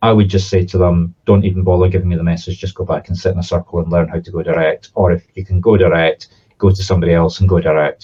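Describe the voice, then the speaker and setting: Very fast and somewhat breathy, a man speaks at a very deep, low pitch. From southern Scotland. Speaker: spiritual medium. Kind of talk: interview answer; promotional video with comic demonstration. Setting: outdoors in front of Highland cattle.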